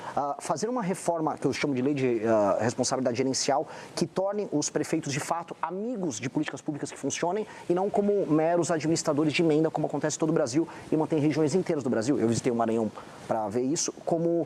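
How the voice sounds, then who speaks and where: Over noticeable background noise, a man with a fairly high voice talks very fast with lively intonation. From Brazil, São Paulo. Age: 40s. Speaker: presidential pre-candidate. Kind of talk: TV political interview.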